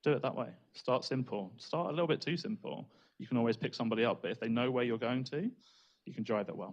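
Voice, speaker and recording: A man's medium-pitched voice races at a very fast pace, its pitch varying in an ordinary way. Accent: British. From Britain. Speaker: data analytics trainer. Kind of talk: conference talk.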